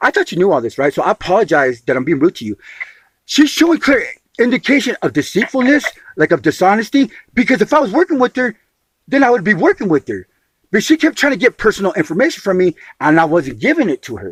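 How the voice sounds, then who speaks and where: Very fast and animated, a man speaks at a high pitch. His pitch swings very widely. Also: dry, close sound with no echo. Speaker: homeless man disputing an agency appeal. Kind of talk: heated phone dispute. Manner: animated, interrupting.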